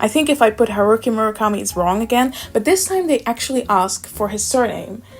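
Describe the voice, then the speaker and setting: A woman with a fairly high pitch and a non-native accent talks at a fairly quick pace with hardly any pauses and lively intonation. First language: not English. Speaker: booktuber. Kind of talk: casual quiz commentary.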